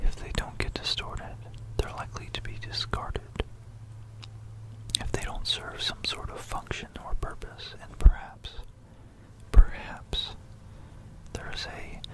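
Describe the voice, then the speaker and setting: Someone whispers at a fairly slow pace with long, frequent pauses. Noticeable background noise is present. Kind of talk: ASMR history talk. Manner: whispered.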